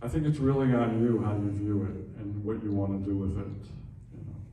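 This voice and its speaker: With audible room echo around him, a man talks at a fairly quick pace in a fairly low pitch with an American accent. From New Jersey. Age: 60s. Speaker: jazz musician. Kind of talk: panel discussion.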